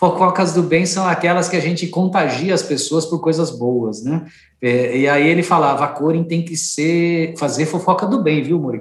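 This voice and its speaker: A man speaks with a high pitch at a moderate pace. He hardly pauses at all. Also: ordinary pitch variation. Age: 50s. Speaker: organic food company executive. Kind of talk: interview.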